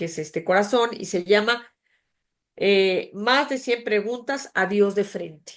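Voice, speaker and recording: A woman speaks very slowly in a medium pitch with ordinary pitch variation. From Mexico City. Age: 60s. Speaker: author and graphic designer. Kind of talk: interview conversation.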